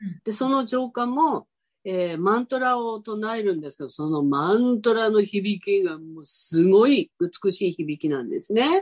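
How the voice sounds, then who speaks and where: The pitch swings very widely and the loudness shifts in big swings. Delivered at a moderate pace, the sound is dry and close with no echo. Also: woman, fairly high pitch for a woman. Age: 70s. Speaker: spiritual guest. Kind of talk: casual interview chat.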